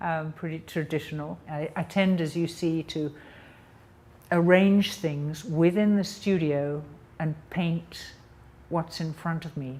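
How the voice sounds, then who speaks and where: In an English accent, a woman speaks very slowly with a fairly low pitch, a dark, mellow tone and fairly even intonation. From England. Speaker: painter. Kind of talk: interview monologue. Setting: artist's studio. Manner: hesitant, with many ums.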